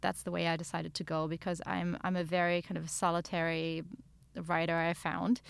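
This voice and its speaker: A woman with a German accent speaks at a moderate pace and fairly low pitch. The recording is very clean, with a silent background. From Germany. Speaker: novelist. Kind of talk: interview. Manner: halting.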